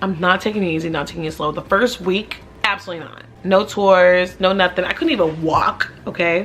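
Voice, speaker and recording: Speaking fairly quickly in an animated tone, a woman uses a medium pitch with big swings in loudness. Noticeable background noise is present. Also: hardly any pauses. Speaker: realtor and vlogger. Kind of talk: casual Q&A vlog. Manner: fast.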